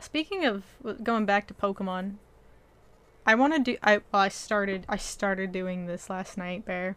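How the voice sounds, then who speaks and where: A woman's ordinary speaking voice at a medium pitch and moderate pace, with ordinary pitch variation. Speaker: podcast host. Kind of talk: casual chat. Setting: online voice call.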